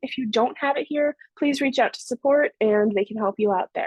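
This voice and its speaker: Speech comes at a very fast pace with ordinary pitch variation, the sound dry with no echo. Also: woman, quiet background. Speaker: software trainer. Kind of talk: tutorial. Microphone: video call.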